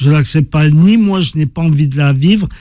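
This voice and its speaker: A man with a fairly high pitch speaks at a moderate pace with ordinary pitch variation. His tone is dark and mellow and somewhat breathy. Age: 50s. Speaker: author and former professional boxer. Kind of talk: interview. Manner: halting, many repetitions.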